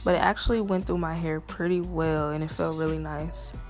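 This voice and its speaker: A woman's voice with music in the background. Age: 20s. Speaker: natural hair vlogger. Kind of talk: casual talk to camera.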